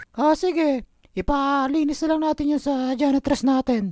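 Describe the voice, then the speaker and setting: This is a cartoonish character voice. It is pitched high. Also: moderate pace. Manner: firm.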